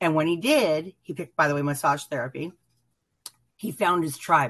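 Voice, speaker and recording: A woman with a very deep, low voice, ordinary pitch variation, a moderate pace, long and frequent pauses, and big swings in loudness. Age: 50s. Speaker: viewer guest. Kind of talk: casual chat.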